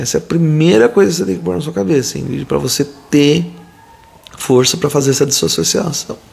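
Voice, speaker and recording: A man's fairly high voice at a fairly quick clip, with very wide swings in pitch and noticeable background noise. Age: 40s. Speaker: pediatrician. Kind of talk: live Q&A stream. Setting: live video stream. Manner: casual, chatty.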